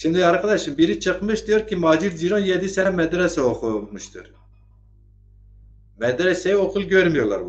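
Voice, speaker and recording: A man is speaking at a high pitch. His pace is moderate. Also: ordinary pitch variation. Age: 50s. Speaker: online talk show host. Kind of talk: political commentary livestream. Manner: animated.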